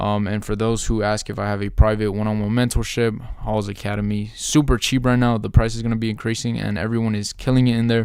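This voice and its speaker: Fairly low in pitch, a man talks at a very fast pace with hardly any pauses. His intonation is monotone and flat. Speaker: YouTube content creator and mentor. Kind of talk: tutorial. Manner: casual, hesitant with fillers.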